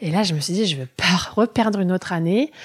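In a dry, close sound with no echo, an ordinary speaking voice carries lively intonation at a moderate pace. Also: woman. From Germany, moved to France at 9. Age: 30s. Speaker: early childhood educator and childminder. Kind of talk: casual interview conversation.

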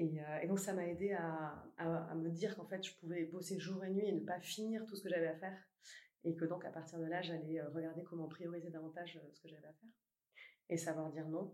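The voice has a dark, mellow tone, fairly even intonation and a fairly quick pace. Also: woman, fairly low pitch for a woman, big swings in loudness. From southern France, Toulouse. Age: 30s. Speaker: company CEO. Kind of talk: interview. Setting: company office. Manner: hesitant, many fillers.

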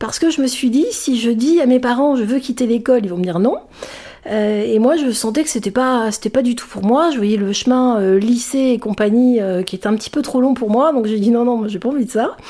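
Pitch moves with ordinary variation. The words come at a fairly quick pace. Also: woman, high pitch for a woman. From France, Sicilian family. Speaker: public speaker. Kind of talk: interview. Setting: studio. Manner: halting.

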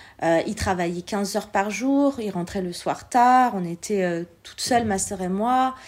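A woman in an ordinary speaking voice at a medium pitch, with a fairly slow pace, hardly any pauses, and ordinary pitch variation. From France, born in Algeria, came as a small child. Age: 40s. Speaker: entrepreneur, former shop owner. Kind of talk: interview, personal testimony.

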